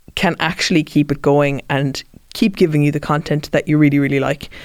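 A woman with a Cork accent on a very clean recording against a silent background. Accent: Cork Irish. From Ireland, Cork. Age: 30s. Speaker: podcast host. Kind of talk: interview. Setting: studio.

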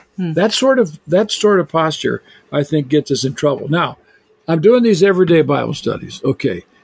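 A man's ordinary speaking voice, fairly high in pitch, with lively intonation at a moderate pace, in a dry, close sound with no echo. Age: 60s. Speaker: biblical scholar and author. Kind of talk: casual chat.

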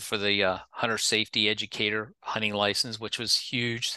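A bright, sharp tone with an American accent, against a quiet background. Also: man. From Pennsylvania. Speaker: state wildlife agency director. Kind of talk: interview.

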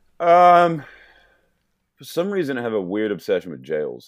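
A man with an American accent speaks at a fairly slow pace. His pitch swings very widely, and the recording is very clean with a silent background. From St. Louis, Missouri. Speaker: photographer and urban explorer. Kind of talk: casual interview chat.

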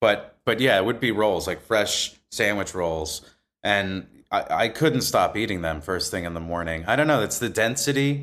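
Using a normal speaking voice with an American accent, a man talks at a moderate pace with a fairly low pitch and lively intonation. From northern New Jersey, Bergen County. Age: 40s. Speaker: actor. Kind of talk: casual interview chat.

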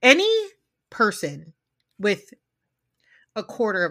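At a fairly slow pace, a woman talks in a bright, sharp, animated tone with ordinary pitch variation, on a very clean recording with a silent background. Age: 30s. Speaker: podcast host. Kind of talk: casual chat.

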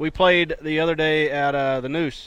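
The speaker has a North Carolina accent and a fairly slow pace. Intonation stays fairly even. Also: man. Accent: rural Southern, Johnston County. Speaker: weatherman and radio co-host. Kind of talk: casual sports radio banter.

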